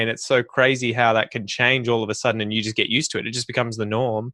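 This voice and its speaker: Against a quiet background, a man with an Australian accent talks at a very fast pace in a medium pitch with fairly even intonation. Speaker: podcast host teaching English. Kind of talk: interview podcast.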